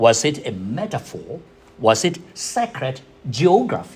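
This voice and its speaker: A man with a Burmese accent speaks with very wide pitch swings. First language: Zomi. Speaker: theology scholar presenting a paper. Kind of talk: academic paper presentation. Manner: halting, with repetitions and self-corrections.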